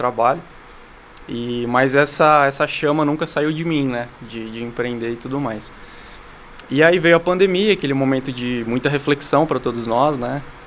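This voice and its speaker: A man's medium-pitched voice, with ordinary pitch movement, comes through noticeable background noise at a moderate pace. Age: 30s. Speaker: entrepreneur, founder of a cat café franchise. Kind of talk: podcast interview. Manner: hesitant fillers, frequent "né".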